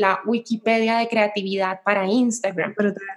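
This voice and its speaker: Pitch varies in an ordinary way as a woman talks fairly slowly. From Colombia, Cali. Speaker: social media entrepreneur. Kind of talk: interview.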